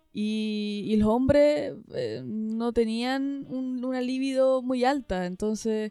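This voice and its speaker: A woman with a fairly high pitch and a dark, mellow tone talks at a very slow pace with hardly any pauses and ordinary pitch variation. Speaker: podcast co-host. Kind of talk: casual chat.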